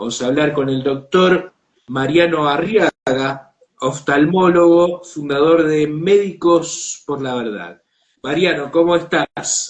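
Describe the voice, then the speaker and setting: Here a man speaks with a fairly high pitch and ordinary pitch variation. His pace is very slow. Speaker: online show host. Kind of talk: interview.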